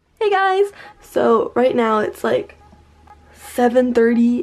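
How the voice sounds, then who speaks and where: A woman speaks at a high pitch. Faint music plays in the background. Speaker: vlogger. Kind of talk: casual vlog chat.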